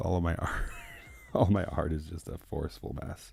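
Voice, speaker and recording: Soft-spoken and relaxed, a man with a very deep, low pitch and a dark, mellow tone talks at a fairly slow pace. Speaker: artist painting live. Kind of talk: live painting stream chat. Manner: casual, relaxed. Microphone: no lavalier, far from the mic.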